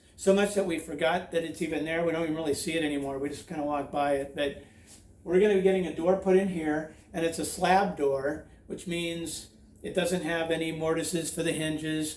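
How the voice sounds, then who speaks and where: Audible room echo carries a man's high-pitched voice, delivered in a monotone with flat intonation. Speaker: DIY home renovation YouTuber. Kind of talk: tutorial. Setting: outdoors by a creek.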